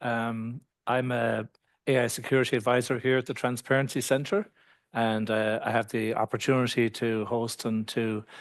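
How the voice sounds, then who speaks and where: Someone with a slight Irish accent talks at a moderate pace with fairly even intonation. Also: man. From Ireland. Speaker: AI security advisor. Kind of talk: webinar panel introduction. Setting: live webinar from transparency centre.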